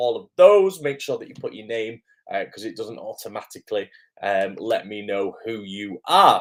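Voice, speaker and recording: Speaking at a moderate pace, a man talks in a British accent. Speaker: acting coach. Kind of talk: live stream chat. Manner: hesitant, many fillers.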